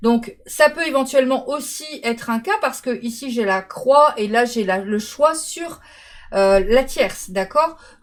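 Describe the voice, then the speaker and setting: A woman's high-pitched voice with lively intonation, at a fairly slow pace. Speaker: tarot card reader. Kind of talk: tarot reading.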